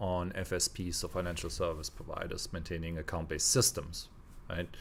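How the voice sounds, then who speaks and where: Captured in a very clean recording with a silent background, a man speaks with a non-native accent. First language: not English. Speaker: podcast co-host. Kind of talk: casual discussion. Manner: halting, with frequent false starts.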